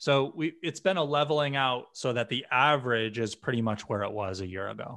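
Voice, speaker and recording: This man speaks with an American accent at a fairly quick pace, hardly pausing. His tone is bright and sharp, with ordinary pitch variation. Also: medium pitch for a man, quiet background. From US Northeast, western Massachusetts. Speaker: software company founder and executive. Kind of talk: podcast interview.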